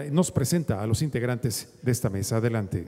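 A man's dark, mellow tone with lively intonation at a moderate pace. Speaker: event announcer. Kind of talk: formal announcements. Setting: PA system.

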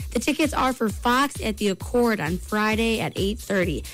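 A woman speaks with an American accent. Faint music plays in the background. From United States. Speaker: college radio DJ. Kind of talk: radio DJ on-air patter. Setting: radio studio broadcast. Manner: upbeat, friendly, casual. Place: studio.

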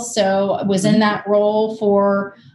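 Audible room echo colors a woman's voice. Light background noise can be heard too. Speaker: guest. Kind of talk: interview answer. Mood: relaxed, friendly. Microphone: video call.

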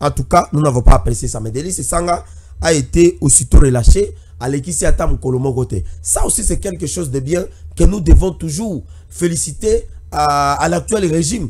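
The speech moves at a moderate pace with big swings in loudness. Faint music plays in the background. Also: man. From DR Congo, Equateur province (Budjala); Equateur province, DR Congo. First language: Lingala and local dialect (speaking French). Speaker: political commentator and party activist; political commentator. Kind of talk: political commentary. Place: studio. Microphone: studio mic.

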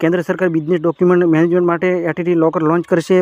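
A man's high voice in flat monotone, recorded dry and close with no echo. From Gujarat, rural. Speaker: exam coaching YouTuber. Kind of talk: current affairs quiz tutorial.

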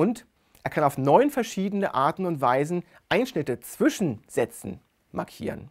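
A high male voice with very wide pitch swings, at a fairly slow pace, over a quiet background. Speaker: speech researcher; lecturer on speech. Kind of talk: lecture. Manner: expressive intonation. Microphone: lapel.

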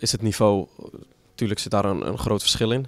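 A man's fairly low-pitched voice in a dry sound with no echo. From Netherlands, Utrecht; Netherlands. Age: 30s. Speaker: footballer. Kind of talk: interview. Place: hall. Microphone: handheld.

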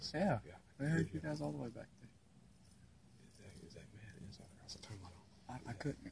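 Over noticeable background noise, a man with vocal fry and a fairly low pitch speaks at a moderate pace, with very wide pitch swings, big swings in loudness, and long, frequent pauses. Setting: outdoors. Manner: whispered. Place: forest.

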